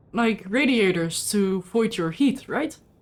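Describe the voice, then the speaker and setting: A very slow pace paired with lively intonation. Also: woman. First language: not English. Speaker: gaming streamer. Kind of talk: casual gameplay chat. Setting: live stream.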